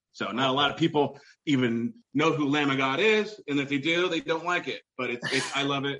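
Loud and bright with a sharp tone, a man's fairly high voice moves at a fairly quick pace with ordinary pitch variation. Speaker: retail manager on weight loss journey. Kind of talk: casual interview. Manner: halting, many fillers.

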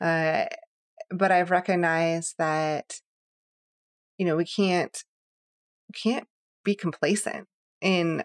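Her pitch sits fairly low, and she speaks very slowly. The sound is dry and close, with no echo. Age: 30s. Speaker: podcast co-host guest. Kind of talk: casual chat.

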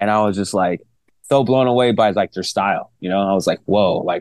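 With fairly even intonation and a fairly low pitch, a man talks at a fairly quick pace in an ordinary speaking voice, the sound dry and close with no echo. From Long Beach and Cypress, Southern California. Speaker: pro skateboarder and DJ. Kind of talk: casual interview chat.

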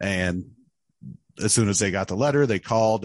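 A man speaks with an American accent. The sound is dry and close, with no echo. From central Illinois, US Midwest. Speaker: adoptee telling his life story. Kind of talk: interview testimony. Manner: halting, many filler words.

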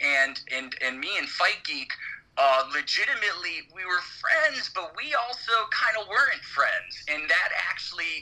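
A man is talking, and there is noticeable noise in the background. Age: 30s. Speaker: MMA podcast co-host. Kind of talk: casual chat.

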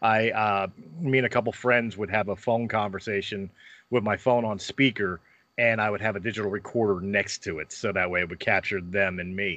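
Over a quiet background, a man with an American accent speaks at a fairly quick pace. His tone is bright and sharp, his pitch fairly low, and his intonation fairly even. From Philadelphia, US. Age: 40s. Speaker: podcaster and former pro wrestler. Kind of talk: casual interview chat.

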